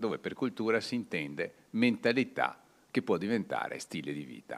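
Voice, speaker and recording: The pitch swings very widely from high to low. There is vocal fry, and the pace is fairly slow. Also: man. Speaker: author giving a talk. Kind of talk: lecture. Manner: hesitant, with frequent fillers.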